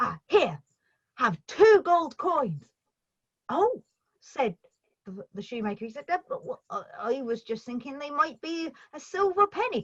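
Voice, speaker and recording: Speaking slowly at a high pitch, a woman leaves long, frequent pauses while her pitch swings very widely and her loudness shifts a lot. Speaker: storyteller. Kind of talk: storytelling performance. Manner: expressive, lively with character voices.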